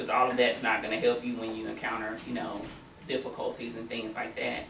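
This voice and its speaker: Noticeable background noise runs beneath a voice with an American accent. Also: woman. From US South. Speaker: nonprofit worker. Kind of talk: panel discussion. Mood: earnest advice-giving. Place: classroom. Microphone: camera far.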